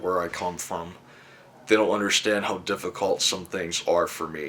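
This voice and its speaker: A man with a normal speaking voice at a fairly slow pace. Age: 20s. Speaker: student documentary maker. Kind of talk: personal documentary narration.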